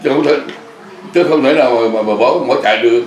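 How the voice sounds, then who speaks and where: Lively intonation from a male speaker, with noticeable background noise throughout. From Vietnam. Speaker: war veteran. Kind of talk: interview answer.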